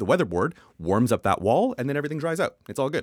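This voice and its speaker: In a Canadian accent, a man's pitch swings very widely, heard through a dry, close sound with no echo. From Canada. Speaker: building designer. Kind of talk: casual chat.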